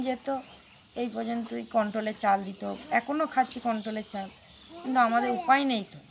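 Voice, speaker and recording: Light background noise sits behind a woman's voice. She speaks at a high pitch with ordinary pitch variation. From West Bengal, India. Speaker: mother of interviewee; interviewee. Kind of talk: interview answers. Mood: earnest, pleading. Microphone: phone near.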